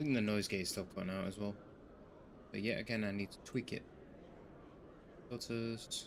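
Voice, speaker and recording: Quiet and fairly low-pitched, a man speaks with big swings in loudness and long, frequent pauses. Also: fairly even intonation, moderate pace. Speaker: gaming streamer. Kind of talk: casual gameplay commentary. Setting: live stream.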